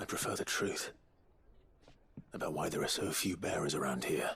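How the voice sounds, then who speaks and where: At a moderate pace, a man performs a put-on character voice with very even loudness. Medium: video game. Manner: terse, serious.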